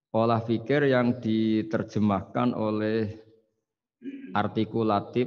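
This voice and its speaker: This man has an ordinary speaking voice pitched fairly low. He talks at a fairly slow pace. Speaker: speaker. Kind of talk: lecture. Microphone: podium.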